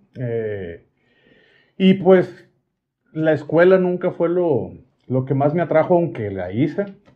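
A man at a very slow pace, fairly high pitch and lively intonation, with long, frequent pauses and a quiet background. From Mexico, Sonora (Hermosillo); Sonora. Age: 40s. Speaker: cooking content creator. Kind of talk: casual interview chat. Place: studio.

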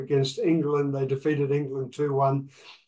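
This man has an Australian accent and a fairly high pitch. His intonation is monotone and flat. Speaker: podcast host and coach; podcast host, coach. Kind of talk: interview podcast. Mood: friendly, joking. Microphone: video call.

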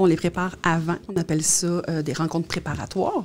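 With a slightly mellow tone and fairly low pitch, a woman talks at a fairly quick pace with fairly even intonation.

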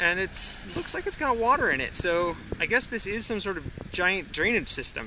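A man is heard with noticeable background noise. The sound is dry, with no echo. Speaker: family vlogger. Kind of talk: casual vlog chat. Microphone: phone near.

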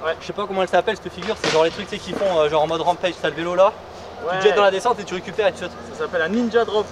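Noticeable background noise fills the clip. A man talks at a very fast pace. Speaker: mountain bike vlogger. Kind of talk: casual vlog chat. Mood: playful, joking. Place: open country.

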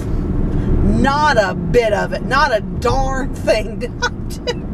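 A woman speaks over loud background noise. The sound is dry with no echo. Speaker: vlogger. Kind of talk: casual vlog chat. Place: car. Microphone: phone near.

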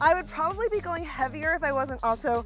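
Faint music plays behind a woman whose voice sounds dry, with no echo. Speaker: fitness instructor. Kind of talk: workout instruction. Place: open country.

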